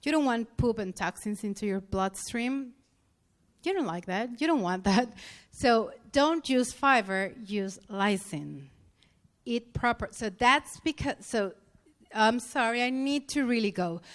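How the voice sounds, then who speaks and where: Lively intonation in a non-native accent at a fairly slow pace, in a very clean recording with a silent background. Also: woman, fairly high pitch for a woman. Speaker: health practitioner lecturer. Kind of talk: conference lecture. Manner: halting.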